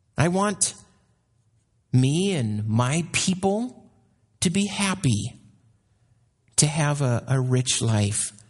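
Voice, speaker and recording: Pausing long and often, a man talks at a very slow pace with a somewhat breathy, fairly high voice and very wide pitch swings. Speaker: missionary. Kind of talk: sermon; fervent prayer. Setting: church. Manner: fervent, earnest prayerful tone.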